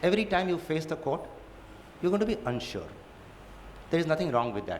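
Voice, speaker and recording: A man with a Gujarati accent speaks at a fairly quick pace, his pitch swinging very widely, over noticeable background noise and audible room echo. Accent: Indian English, Gujarati. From India, Gujarat. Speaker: judge. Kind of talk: lecture.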